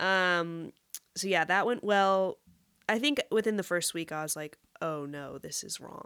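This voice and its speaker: A woman speaks at a medium pitch with an American accent and ordinary pitch variation. Her pace is fairly slow, and the recording is very clean with a silent background. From West Texas (Amarillo). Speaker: music industry professional. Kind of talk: casual chat.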